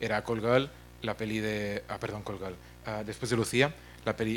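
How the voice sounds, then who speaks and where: Music plays in the background as a man speaks in a monotone, flat delivery at a fairly low pitch. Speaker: film platform executive. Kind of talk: conference talk. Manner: fast; mumbling.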